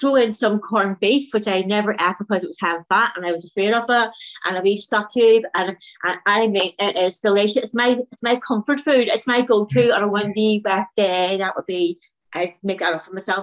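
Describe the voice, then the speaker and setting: Speaking in a Northern Irish accent, a woman sounds enthusiastic at a medium pitch. Her pace is fairly quick. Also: ordinary pitch variation. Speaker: diet group coordinator. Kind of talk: interview answer.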